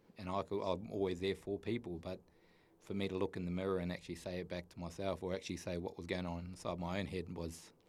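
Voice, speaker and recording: Speaking with a New Zealand accent, a man moves at a very fast pace. His very deep, low pitch stays monotone and flat. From New Zealand, North Island. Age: 40s. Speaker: mature university student sharing recovery story. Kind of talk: personal testimony in interview.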